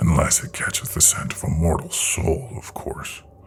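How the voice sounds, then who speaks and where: A man's whispering, rumbling put-on character voice at a moderate pace. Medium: read story. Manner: low, grim, terse.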